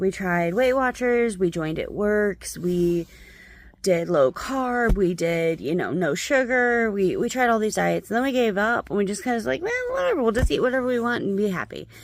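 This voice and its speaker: Using a normal speaking voice, a woman talks at a moderate pace and a medium pitch with lively intonation. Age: 30s. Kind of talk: casual talk to camera. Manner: casual, conversational.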